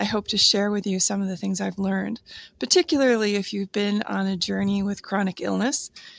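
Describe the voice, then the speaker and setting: Dry, close sound with no echo, a fairly quick pace, ordinary pitch variation, and a very clean recording with a silent background. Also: woman, medium pitch for a woman. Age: 60s. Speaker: wellness coach and vlogger. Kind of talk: casual unscripted vlog. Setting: outdoors, handheld camera. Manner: hesitant, with fillers.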